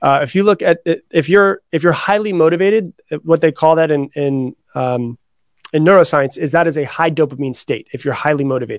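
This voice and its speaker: An unremarkable speaking voice, a man's fairly high pitch with ordinary pitch variation comes at a fairly quick pace with an American accent, recorded dry and close with no echo. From Florida. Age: 30s. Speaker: author and personal development coach. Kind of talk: interview.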